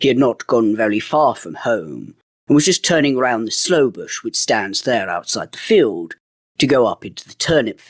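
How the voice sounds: A natural reading voice with lively intonation comes through over a quiet background.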